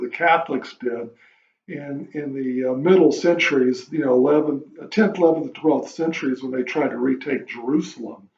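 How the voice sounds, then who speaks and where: A man's fairly high voice moves along at a moderate pace. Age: 60s. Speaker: vlogger. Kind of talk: casual monologue. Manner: halting.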